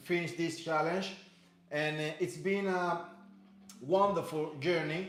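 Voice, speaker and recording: A man speaks with a slight Spanish accent at a high pitch. There is noticeable background noise and audible room echo. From Cuba. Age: 30s. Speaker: fitness instructor. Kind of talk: live workout class. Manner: halting, many fillers and repeats.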